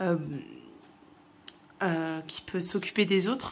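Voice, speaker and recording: At a very slow pace, a woman talks in a medium pitch with fairly even intonation. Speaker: tarot card reader. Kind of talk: tarot reading monologue. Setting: at home, dining room table. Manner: hesitant, many filler sounds.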